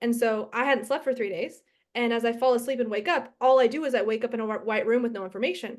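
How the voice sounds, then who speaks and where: A woman talks at a very fast pace with a fairly high pitch. Her tone is animated. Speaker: podcast host. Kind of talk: casual podcast conversation.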